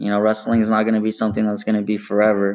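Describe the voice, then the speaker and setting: A medium-pitched man with a West Coast US accent. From Portland, Oregon, US Pacific Northwest. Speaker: kinesiology student and bodybuilder. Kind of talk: casual chat.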